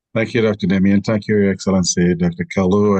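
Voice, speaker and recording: With a normal speaking voice, a man talks at a fairly low pitch with ordinary pitch variation. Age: 60s. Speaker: bishop. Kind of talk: closing remarks in online training session.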